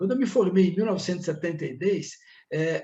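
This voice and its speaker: A man's voice with a dark, mellow tone moves with ordinary pitch variation. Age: 70s. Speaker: accounting professor. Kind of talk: podcast interview.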